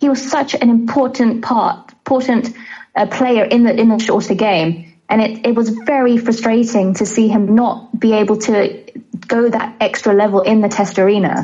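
A woman with an ordinary speaking voice talks at a fairly high pitch and a moderate pace. Her intonation is fairly even and her loudness very even. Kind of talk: casual interview chat.

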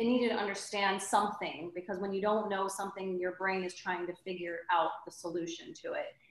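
This woman's voice sits at medium pitch, with fairly even intonation, a fairly quick pace and hardly any pauses. Background noise is noticeable. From Austria, Salzburg. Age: 30s. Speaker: entrepreneur. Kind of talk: casual chat.

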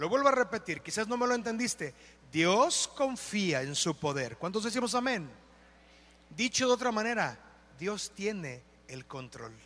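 With a bright, sharp tone and a high pitch, a man talks at a fairly slow pace, his pitch swinging very widely between long, frequent pauses. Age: 40s. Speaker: pastor. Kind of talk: sermon. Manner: animated.

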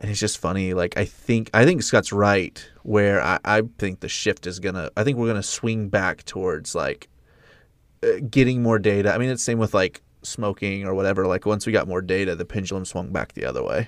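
Over a quiet background, a man speaks in a plain, everyday voice at a fairly low pitch and moderate pace, with a dry, close sound and no echo. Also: fairly even intonation. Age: 30s. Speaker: podcast co-host, filmmaker. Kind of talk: casual chat.

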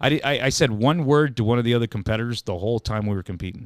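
A man's normal speaking voice at medium pitch and a fairly quick pace, with ordinary pitch variation, on a very clean recording with a silent background. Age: 40s. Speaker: journeyman lineman and bladesmith. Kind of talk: casual interview.

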